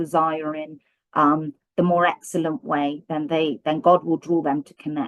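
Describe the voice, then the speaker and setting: In a strong British accent, a woman with a fairly low pitch speaks fairly slowly with fairly even intonation, in a dry, close sound with no echo. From Britain. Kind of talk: testimony.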